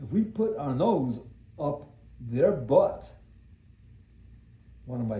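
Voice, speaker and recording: A man with a dark, mellow tone and fairly high pitch talks at a very slow pace, his somewhat breathy voice making very wide pitch swings in audible room echo. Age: 70s. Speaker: self-help speaker. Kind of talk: motivational monologue. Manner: serious; talkative.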